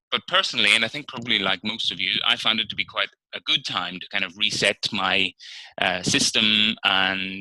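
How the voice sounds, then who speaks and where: A man speaks in a Northern Irish accent with a bright, sharp tone and fairly low pitch. The sound is dry and close, with no echo. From Northern Ireland. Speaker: interpreter trainer giving practice speech. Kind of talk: practice speech for interpreting students. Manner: conversational with fillers.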